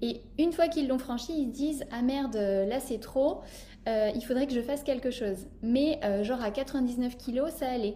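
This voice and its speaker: A woman speaks in a high voice at a fairly slow pace. Her pitch moves in an ordinary way. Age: 20s. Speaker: podcast host and life coach. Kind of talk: casual chat.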